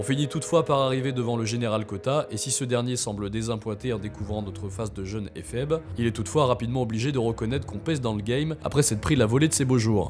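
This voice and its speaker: Over music in the background, a man with a medium-pitched voice talks at a very fast pace with hardly any pauses and ordinary pitch variation. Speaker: video game storyteller. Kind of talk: video game history narration. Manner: casual, conversational.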